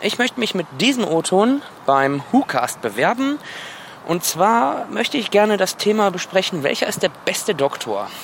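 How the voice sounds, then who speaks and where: A man's voice sits high in pitch and moves in very wide swings. Noticeable background noise is present. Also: moderate pace. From Wuppertal, western Germany. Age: 20s. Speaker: listener applying to join the show. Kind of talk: recorded voice message.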